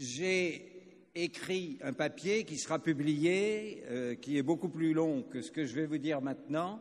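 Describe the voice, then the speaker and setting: A man speaks at a fairly high pitch. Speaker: retired army colonel, international affairs consultant. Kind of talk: conference speech. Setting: conference with interpreters. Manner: slow.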